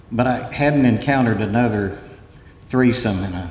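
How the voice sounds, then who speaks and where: At a moderate pace, a man speaks with ordinary pitch variation in a room with audible echo. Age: 70s. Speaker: coastal engineer. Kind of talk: conference talk.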